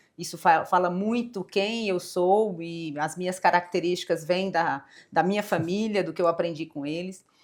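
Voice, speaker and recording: In a Brazilian accent, a woman at medium pitch speaks with fairly even intonation on a very clean recording with a silent background. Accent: non-São Paulo Brazilian accent, noticeable. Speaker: corporate executive. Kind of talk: interview.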